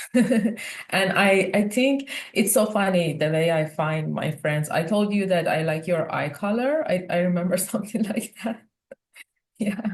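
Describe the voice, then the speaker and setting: A woman speaks at medium pitch with a Persian accent. Her pace is fairly slow and her intonation lively. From Iran. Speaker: research scientist. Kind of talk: casual chat.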